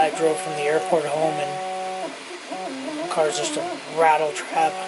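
Noticeable background noise sits behind a man as he speaks. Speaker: vlogger. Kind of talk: casual vlog chat. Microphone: phone near.

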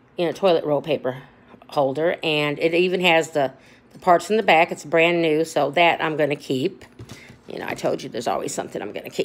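An unremarkable speaking voice. It has ordinary pitch variation and a fairly quick pace. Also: woman, fairly low pitch for a woman. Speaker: thrift reseller. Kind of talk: casual haul vlog chat. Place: home room. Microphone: phone near.

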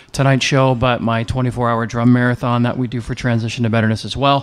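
His intonation is fairly even. The man speaks very fast. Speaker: guest. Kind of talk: casual promo talk. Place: cafe. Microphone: handheld.

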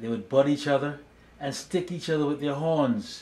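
Fairly high pitch and a somewhat breathy quality in a man's voice. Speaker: speech therapist and storybook reader. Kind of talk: children's storybook narration, read aloud. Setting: video channel, solo recording. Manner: gentle, slow and warm, storyteller pacing. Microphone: phone near.

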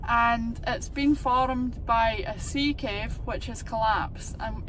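A woman speaking at a fairly slow pace, in a dry sound with no echo and noticeable background noise. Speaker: local guide making a school video. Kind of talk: educational explanation for children. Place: car. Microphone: phone near.

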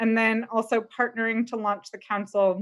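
Behind the woman's voice, the background stays quiet. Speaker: webinar presenter. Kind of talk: presentation. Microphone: video call.

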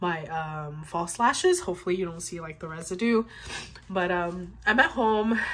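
A woman speaks with lively intonation, keeping a moderate pace. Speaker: vlogger. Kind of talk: casual vlog chat. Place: home room. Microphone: phone near.

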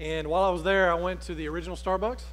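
With an Alabama accent, a man talks at a fairly quick pace over light background noise. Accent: US Southern (Alabama). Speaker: pastor. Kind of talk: sermon. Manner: conversational. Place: church.

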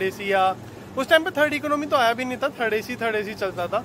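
Against noticeable background noise, a man talks at a high pitch in a dry sound with no echo. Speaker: travel vlogger. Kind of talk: casual vlog chat. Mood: excited, emotional. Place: station. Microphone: phone near.

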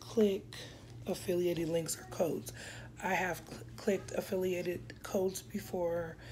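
There's light background noise as a woman speaks with a somewhat breathy, dark, mellow tone, a fairly low pitch and ordinary pitch variation. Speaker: vlogger. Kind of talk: casual vlog chat. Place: home room. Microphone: phone near.

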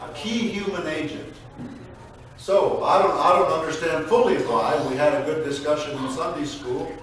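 There is noticeable background noise and strong room echo. Through it, a man speaks at a fairly slow pace. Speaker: pastor. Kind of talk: sermon. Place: church.

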